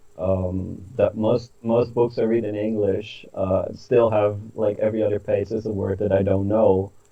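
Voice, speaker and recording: A man with a Dutch accent speaks at a fairly slow pace, his fairly low pitch held in a monotone, flat intonation. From Netherlands. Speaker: author. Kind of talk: interview. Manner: hesitant, many fillers.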